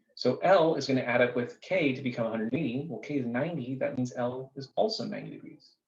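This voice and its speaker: Lively intonation in a somewhat breathy voice. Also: man. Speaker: math teacher. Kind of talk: tutorial. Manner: fast.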